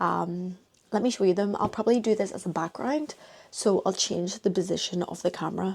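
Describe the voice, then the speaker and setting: A woman talks in a Northern Irish accent at a medium pitch. Her tone is dark and mellow, with ordinary pitch variation. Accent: Northern Irish (Belfast). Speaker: vlogger. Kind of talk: casual vlog chat. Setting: bedroom at family home.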